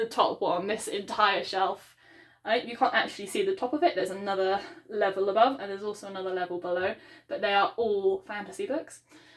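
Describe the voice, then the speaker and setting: A woman with a British accent, medium in pitch, ordinary pitch variation, fairly quick delivery. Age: 20s. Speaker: book vlogger. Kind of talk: casual vlog monologue. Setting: home book room, video recording. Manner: fast; hesitant, many ums.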